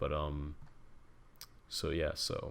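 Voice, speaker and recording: This man is soft-spoken. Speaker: tech tutorial youtuber. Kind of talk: tutorial. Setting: home at night. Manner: hesitant, many fillers.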